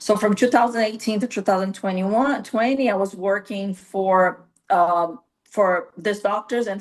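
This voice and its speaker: A woman speaks at a moderate pace in a medium pitch, with a Brazilian accent. Her pitch rises and falls in an ordinary way. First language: Portuguese. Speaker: nurse practitioner. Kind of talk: interview. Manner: halting, with frequent fillers.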